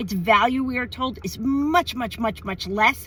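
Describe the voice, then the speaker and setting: Loud and animated, a woman speaks with a high pitch. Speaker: activist video host interviewer. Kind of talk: casual outdoor interview.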